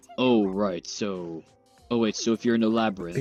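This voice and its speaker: Over faint background music, a man performs a put-on character voice at a fairly low pitch and a moderate pace. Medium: game stream. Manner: hesitant, repetitive.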